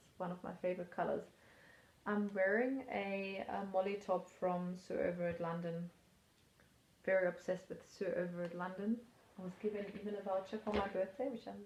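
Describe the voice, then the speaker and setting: A woman at medium pitch with a non-native accent, flat monotone intonation, a moderate pace, and long, frequent pauses. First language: not English. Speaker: knitting vlogger. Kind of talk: casual chat. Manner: casual, hesitant with fillers.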